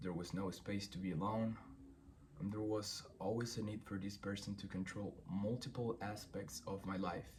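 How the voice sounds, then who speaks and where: A man with a Spanish accent speaks at a moderate pace, his fairly low voice keeping a fairly even intonation. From Chile. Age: 20s. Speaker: former boxer, singer and producer. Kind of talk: personal statement read aloud. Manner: reading from script.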